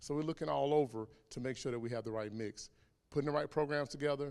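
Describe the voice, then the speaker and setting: Here a man talks at a very fast pace with a Southern US accent. His pitch variation is ordinary. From South Carolina, US South. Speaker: HR director. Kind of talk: public Q&A.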